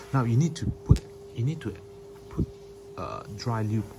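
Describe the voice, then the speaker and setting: Noticeable background noise is present throughout. Over it, a man talks with lively intonation. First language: not English. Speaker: cyclist. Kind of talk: product review to camera. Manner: hesitant, many fillers.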